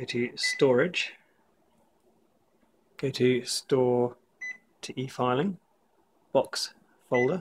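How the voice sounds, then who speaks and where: A man speaks very slowly with long, frequent pauses, in a somewhat breathy voice. His medium pitch stays fairly even in intonation. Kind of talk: tutorial walkthrough.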